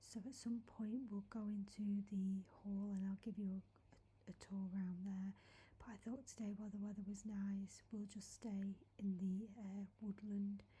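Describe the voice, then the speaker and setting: A soft-spoken woman at a medium pitch and fairly slow pace, somewhat breathy, with a gentle, dark, mellow tone and monotone, flat intonation. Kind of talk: soft-spoken ASMR walking tour talking to camera. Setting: outdoors in a woodland. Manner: soft-spoken, gentle.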